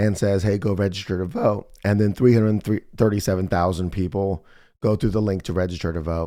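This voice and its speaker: With an American accent, a man speaks at a moderate pace in a dark, mellow, fairly low voice with fairly even intonation. The recording is very clean, with a silent background. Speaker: political commentary podcast host. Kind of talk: casual monologue.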